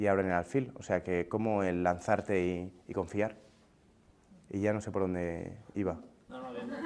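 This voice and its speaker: This man's voice sits fairly low, and his intonation stays fairly even. He talks at a moderate pace with long, frequent pauses. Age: 30s. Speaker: comedian. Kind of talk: interview testimony. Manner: casual, hesitant.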